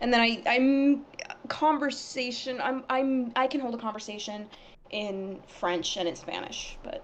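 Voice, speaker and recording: At a fairly slow pace and with ordinary pitch variation, the speech carries over noticeable background noise. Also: woman, high pitch for a woman. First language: Arabic. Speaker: animation project team member. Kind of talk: casual chat. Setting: live stream. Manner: halting.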